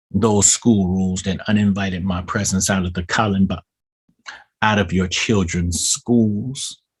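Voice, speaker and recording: In a very deep, low voice, a man speaks with fairly even intonation. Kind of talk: spoken-word poetry, preaching delivery. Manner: preaching cadence, rhythmic poetic delivery.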